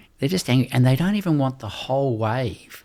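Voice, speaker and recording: A man with an Australian accent speaks at a medium pitch and a moderate pace on a very clean recording with a silent background. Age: 60s. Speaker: doctor and rites-of-passage mentor. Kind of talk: podcast interview.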